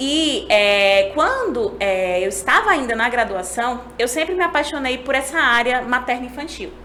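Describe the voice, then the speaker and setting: A high-voiced woman speaks at a fairly slow pace with hardly any pauses and very wide pitch swings. Noticeable background noise and audible room echo fill the recording. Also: very even loudness. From Brazil, Pernambuco (Agreste, Recife). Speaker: neonatal nurse. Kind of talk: podcast interview. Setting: podcast.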